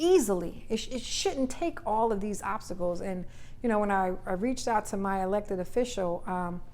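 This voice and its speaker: A woman at a fairly quick pace amid audible room echo. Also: medium pitch for a woman, ordinary pitch variation. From Trenton, New Jersey. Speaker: politician. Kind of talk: casual interview.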